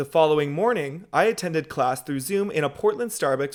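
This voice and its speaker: In a very clean recording with a silent background, a man with an ordinary speaking voice talks at a fairly quick pace. His pitch is fairly high and his intonation lively. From Seattle, Washington. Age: 20s. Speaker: student broadcast reporter. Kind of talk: casual vlog-style feature narration.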